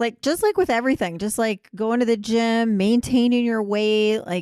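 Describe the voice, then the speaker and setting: A woman has an ordinary speaking voice with a fairly high pitch. She talks at a moderate pace with ordinary pitch variation. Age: 50s. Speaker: gynecologist and podcast host. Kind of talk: casual chat.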